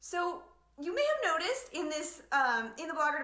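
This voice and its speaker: A woman projects a raised voice with a bright, sharp tone, and audible room echo surrounds her. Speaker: blogging business coach. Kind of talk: live online training. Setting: livestream from home living room. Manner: fast; animated.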